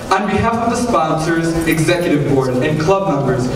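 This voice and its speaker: There is noticeable background noise and audible room echo. A man is speaking. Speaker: student MC. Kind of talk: event welcome speech. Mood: formal, welcoming. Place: stage.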